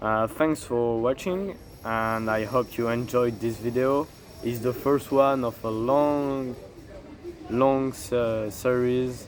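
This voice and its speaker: The speaker talks at a very slow pace with fairly even intonation and a French accent. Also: man, medium pitch for a man. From France. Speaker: fitness content creator. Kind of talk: casual tutorial monologue. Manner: halting, with fillers.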